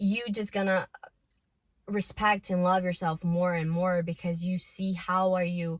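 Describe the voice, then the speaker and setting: At a fairly slow pace, a woman speaks in a fairly low, somewhat breathy voice with fairly even intonation. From Brazil. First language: Portuguese. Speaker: self-improvement vlogger. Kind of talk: casual vlog monologue. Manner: emotional.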